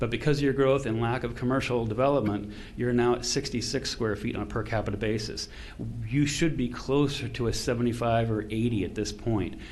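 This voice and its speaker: Audible room echo surrounds a man talking at a fairly quick pace. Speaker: consultant presenting to county commissioners. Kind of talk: public meeting presentation. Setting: county commission meeting. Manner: fast; animated.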